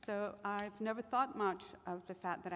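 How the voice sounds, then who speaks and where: Speaking with a Spanish accent, a woman talks at a moderate pace and a medium pitch. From overseas, Spanish-speaking family. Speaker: intelligence agency official, panelist. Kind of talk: personal testimony on a panel. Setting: stage with audience. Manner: halting, many fillers.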